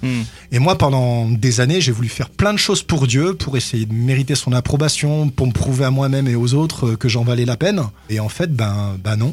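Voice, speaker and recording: A man talks at a moderate pace and a medium pitch. His voice is somewhat breathy, with ordinary pitch variation. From France, Grenoble. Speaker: pastor. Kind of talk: radio interview. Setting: radio studio.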